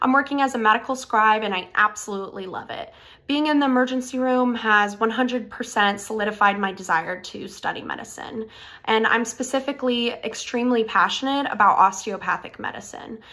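In an American accent, a woman talks at a fairly quick pace with a fairly high, bright, sharp voice. Her pitch varies in an ordinary way while her loudness swings widely. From Florida, US. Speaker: medical school applicant. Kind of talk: scripted personal statement video. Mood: earnest, warm. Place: home room. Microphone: phone near.

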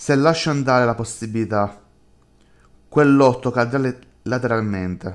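Speaking at a fairly slow pace with long, frequent pauses, a man with a medium-pitched voice sounds menacing, his intonation showing ordinary pitch variation on a very clean recording with a silent background. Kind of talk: horror audio drama reading, dramatic narration of a creepy inner dialogue. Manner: shifts between two voices, a tormented self and a menacing alter ego.

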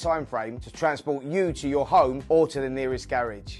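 Fairly quick speech over faint background music. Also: man. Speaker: boxing pundit. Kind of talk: TV commercial read. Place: studio. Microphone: lapel.

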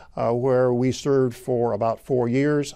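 A man's dark, mellow voice with an American accent, over a quiet background. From Illinois. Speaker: agricultural economics professor. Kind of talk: oral history interview. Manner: halting. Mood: warm, reflective, occasional smiles. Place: studio. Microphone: lapel.

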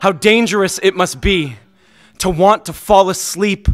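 A man with an intense tone at a fairly slow pace. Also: quiet background. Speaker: slam poet. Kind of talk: slam poem performance. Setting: stage with audience. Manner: intense, impassioned, rhythmic delivery. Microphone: studio mic.

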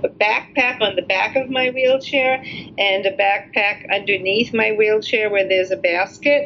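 A woman's fairly high voice with an American accent and fairly even intonation, over noticeable background noise. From New York, US. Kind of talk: casual interview.

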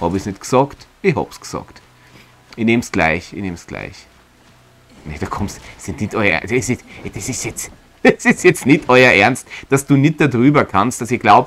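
Pausing long and often, a man speaks at a moderate pace with very wide pitch swings. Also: medium pitch for a man. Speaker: let's play streamer and voice performer. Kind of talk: casual gameplay commentary.

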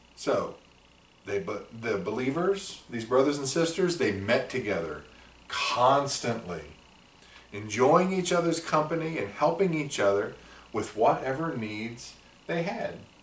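With audible room echo, a man speaks at a fairly slow pace, his pitch swinging very widely. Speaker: church class teacher. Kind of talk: Bible lesson talk. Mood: warm, gentle teaching. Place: office.

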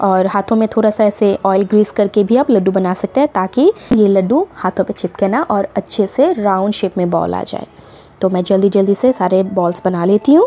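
A woman with a dark, mellow tone speaks at a fairly slow pace, using ordinary pitch variation. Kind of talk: tutorial. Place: home room. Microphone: phone near.

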